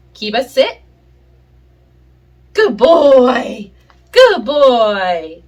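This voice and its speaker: A woman with a fairly high voice lets her pitch swing very widely. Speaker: pet owner video creator. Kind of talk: tutorial. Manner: casual, hesitant with many fillers.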